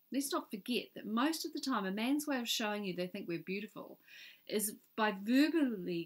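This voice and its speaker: In a New Zealand accent, a woman talks at a fairly quick pace with lively intonation. Her fairly high voice sits in a very clean recording with a silent background. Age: 50s. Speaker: author. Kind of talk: reading aloud.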